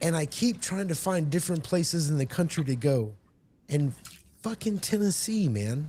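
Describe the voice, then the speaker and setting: An ordinary speaking voice from a man with an American accent, fairly high in pitch, at a moderate pace and with lively intonation. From Texas. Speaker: gaming convention attendee. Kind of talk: casual chat.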